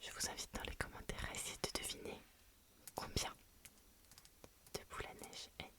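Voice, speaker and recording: A woman whispers at a moderate pace in a relaxed tone. She leaves long, frequent pauses, and there is noticeable background noise. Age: 20s. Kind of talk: casual talk to camera, ASMR channel introduction. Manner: soft-spoken, relaxed.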